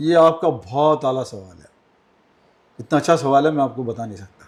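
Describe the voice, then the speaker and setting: This man has a normal speaking voice with a fairly high pitch. He talks at a moderate pace and shows ordinary pitch variation. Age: 60s. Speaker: ship captain and nautical instructor. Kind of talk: podcast interview.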